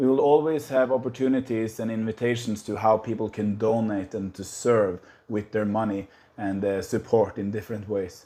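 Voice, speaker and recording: A dark, mellow tone and medium pitch mark this man's voice. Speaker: missionary. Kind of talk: casual vlog. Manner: hesitant, many fillers.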